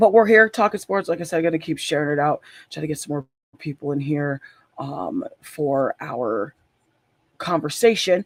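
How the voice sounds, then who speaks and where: A man's raspy put-on character voice, fairly high in pitch with lively intonation, at a moderate pace with long, frequent pauses and a dry, close sound with no echo. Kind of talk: casual, podcast host.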